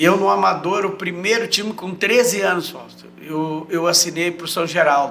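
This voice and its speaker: Over noticeable background noise, a man with a southern Brazilian accent speaks at a high pitch and moderate pace with fairly even intonation, big swings in loudness and hardly any pauses. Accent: gaúcho Brazilian Portuguese. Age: 70s. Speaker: retired footballer. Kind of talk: casual interview chat.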